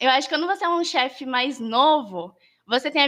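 This woman has a bright, sharp tone and a high pitch, with lively intonation at a moderate pace. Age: 20s. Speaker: scout leader and YouTuber. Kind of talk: casual chat.

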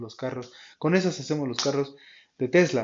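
A man talks at a fairly quick pace. He speaks with a central Mexican accent. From Mexico, Tulancingo, Hidalgo. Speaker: podcast host. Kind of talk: solo news commentary podcast. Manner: hesitant, many fillers and restarts.

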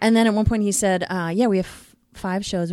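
A woman speaks in a dark, mellow tone with fairly even intonation at a moderate pace. The recording is very clean, with a silent background. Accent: American. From Queens, New York. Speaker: casting director. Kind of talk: casual chat.

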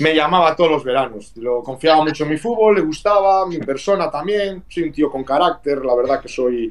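A man with an ordinary speaking voice talks at a moderate pace in a fairly high pitch, with lively intonation and hardly any pauses. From Vigo, Galicia, Spain. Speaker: retired professional footballer. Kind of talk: interview.

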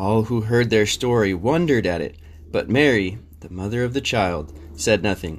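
Speaking in a plain, everyday voice, a man at a medium pitch uses lively intonation at a moderate pace. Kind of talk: bedtime story reading aloud with discussion questions. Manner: gentle, soothing, measured storytelling pace.

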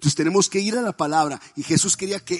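A man talks at a fairly quick pace with ordinary pitch variation. The recording is dry and close, with no echo. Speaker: pastor. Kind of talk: sermon.

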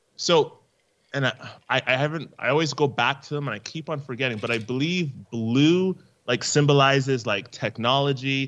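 With a Canadian accent, a man talks at a fairly high pitch and a moderate pace, with ordinary pitch variation. He has an unremarkable speaking voice. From Canada. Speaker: podcaster and esports veteran. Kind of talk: casual interview chat.

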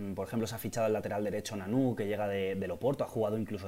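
A man's fairly low-pitched, dark, mellow voice at a very fast pace. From Valencia, Spain. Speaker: football podcast co-host. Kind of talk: casual chat.

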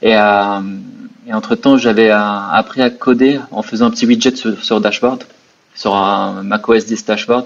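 Slowly and in a monotone, flat intonation, a man speaks at a fairly slow pace. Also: medium pitch for a man. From Morocco. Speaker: entrepreneur. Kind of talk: interview.

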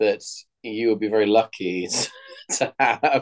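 A man with a London accent, medium pitch, and a fairly slow pace. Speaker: podcast co-host. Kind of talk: casual chat. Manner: animated.

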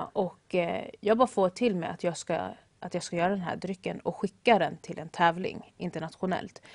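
An ordinary speaking voice with ordinary pitch variation comes through in a dry, close sound with no echo. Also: woman, medium pitch for a woman, moderate pace. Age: young. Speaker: baker and café owner. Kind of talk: interview.

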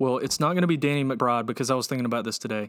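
A man with an American accent in a medium pitch, a normal speaking voice with ordinary pitch variation, on a very clean recording with a silent background. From US South, Georgia. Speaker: podcast co-host. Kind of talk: casual chat.

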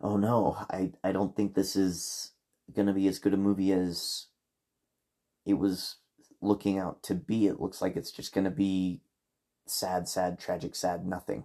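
Against a quiet background, a man speaks at a fairly slow pace in a very deep, low voice with a dark, mellow tone. His intonation is fairly even, and he takes long, frequent pauses. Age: 30s. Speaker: podcast host and movie reviewer. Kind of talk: solo movie review monologue.

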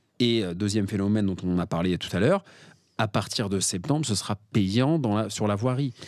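At a moderate pace, a man speaks in a plain, everyday voice with fairly low pitch. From Paris, France. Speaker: parking investor and author. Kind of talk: podcast interview.

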